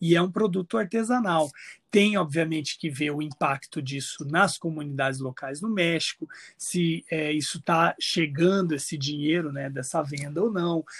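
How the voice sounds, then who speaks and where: Here a man speaks with a fairly high pitch and ordinary pitch variation. His pace is moderate. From Brazil, Mato Grosso do Sul (Campo Grande). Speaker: chef and food researcher. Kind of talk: podcast interview. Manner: hesitant, many fillers.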